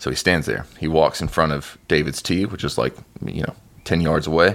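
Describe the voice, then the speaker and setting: A man with an American accent speaks at a moderate pace in a very deep, low register with vocal fry. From US South. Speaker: podcast co-host. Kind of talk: casual chat.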